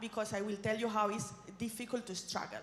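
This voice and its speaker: A woman's fairly high voice with a Spanish accent, at a fairly quick pace, amid noticeable background noise and audible room echo. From southeast Spain (Murcia region). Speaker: regional politician. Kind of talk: conference speech. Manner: fast; animated.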